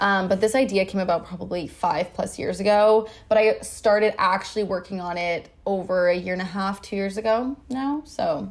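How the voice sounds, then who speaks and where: With a Canadian accent, the speaker keeps a moderate pace with hardly any pauses and ordinary pitch variation. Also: woman, medium pitch for a woman. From Vancouver, Canada. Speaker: influencer and brand founder. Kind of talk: casual podcast interview. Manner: stumbles over words.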